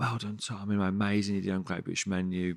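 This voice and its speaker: A man speaks in a very deep, low voice with a Birmingham accent. The sound is dry and close with no echo, in a very clean recording with a silent background. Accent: Birmingham (Brummie). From Sutton Coldfield, Birmingham area, England. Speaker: chef and restaurant owner. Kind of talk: casual chat.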